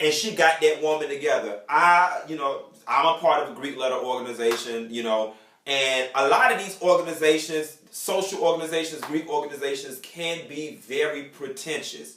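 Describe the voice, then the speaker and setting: An animated man at a fairly high pitch, with ordinary pitch variation and noticeable background noise. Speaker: TV recap vlogger. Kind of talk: casual chat. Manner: fast.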